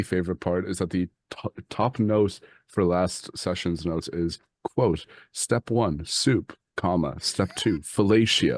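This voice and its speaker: Over a quiet background, a man speaks fairly slowly with a very deep, low pitch and ordinary pitch variation, the sound dry and close with no echo. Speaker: tabletop role-play podcast player. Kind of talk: casual chat.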